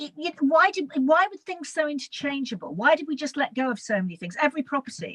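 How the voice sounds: A woman talks at a fast pace, high-pitched, with lively intonation and a fairly bright tone. The sound is dry and close, with no echo.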